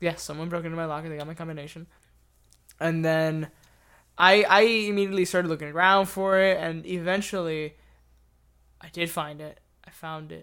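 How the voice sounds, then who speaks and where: In a very clean recording with a silent background, a high-pitched man talks at a fairly quick pace with fairly even intonation, big swings in loudness and long, frequent pauses. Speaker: interviewee, amateur filmmaker. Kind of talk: casual chat. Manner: rambling, joking.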